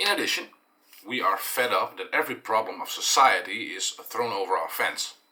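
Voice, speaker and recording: Speaking at a moderate pace, a man talks with a Dutch accent. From eastern Netherlands. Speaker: dairy farmer and vlogger. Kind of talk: explanatory vlog monologue. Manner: halting, many fillers.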